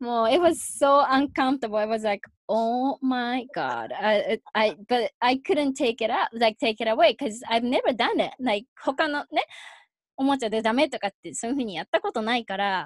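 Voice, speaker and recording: A woman's high-pitched voice with lively intonation at a moderate pace, in a dry, close sound with no echo. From Japan, Yokohama. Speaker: mother. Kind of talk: casual interview chat.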